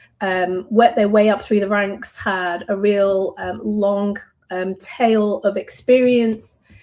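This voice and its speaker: A woman with a British accent speaks at a medium pitch in a dark, mellow tone, her pitch moving in an ordinary way. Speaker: software company director. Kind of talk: interview podcast. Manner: many filler ums.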